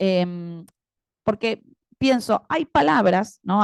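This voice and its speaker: In a quiet background, a woman talks at a medium pitch with ordinary pitch variation. The sound is dry and close, with no echo. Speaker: academic panel commentator and moderator. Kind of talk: academic panel commentary.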